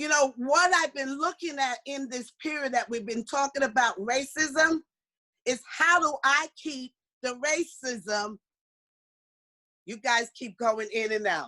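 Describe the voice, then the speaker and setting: A woman projects a raised voice with a bright, sharp tone and an animated delivery, pitched high for a woman. She speaks at a fairly slow pace with ordinary pitch variation, in a dry, close sound with no echo. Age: 60s. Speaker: motivational speaker. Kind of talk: workshop talk.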